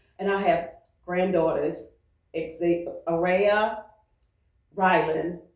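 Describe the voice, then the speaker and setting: Audible room echo surrounds a woman speaking at a very slow pace in a monotone, flat delivery broken by long, frequent pauses. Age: 70s. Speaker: retired teacher. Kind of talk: interview.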